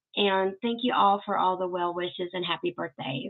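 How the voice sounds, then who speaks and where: With a Southern accent, a woman speaks at a moderate pace. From US South, Arkansas. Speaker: YouTube host, Elvis fan channel. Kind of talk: livestream Q and A chat. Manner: casual, chatty.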